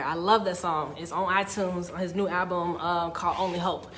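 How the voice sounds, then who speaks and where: An animated tone with audible room echo. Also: woman. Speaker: motivational speaker. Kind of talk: live stream talk. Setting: social media live video.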